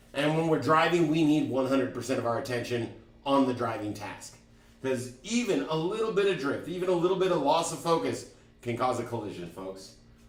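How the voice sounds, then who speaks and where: Speaking at a fairly quick pace over audible room echo, a man uses a fairly high pitch that swings very widely. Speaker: driving instructor. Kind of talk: online class lecture. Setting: live stream. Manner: stutter; energetic.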